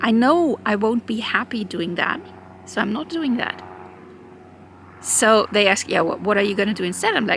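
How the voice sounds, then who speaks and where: Over noticeable background noise, a woman talks with a German accent. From Germany. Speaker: YouTuber. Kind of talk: personal vlog monologue. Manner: halting.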